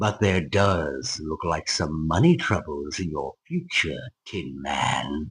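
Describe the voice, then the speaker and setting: Growling in a put-on character voice, a man speaks with a menacing tone at a fairly slow pace, his pitch very deep and low. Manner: growling, menacing, taunting.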